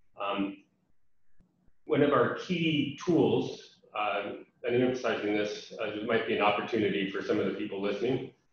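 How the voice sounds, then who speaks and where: There is audible room echo around this man's voice. He speaks at a moderate pace with an American accent. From USA. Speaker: international development program representative. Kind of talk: webinar presentation. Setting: online webinar. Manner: many fillers (um, uh).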